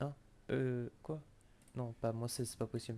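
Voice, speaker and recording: A man's medium-pitched voice, dark and mellow in tone, with flat, monotone intonation. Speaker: Pokémon competitive player. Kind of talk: casual chat.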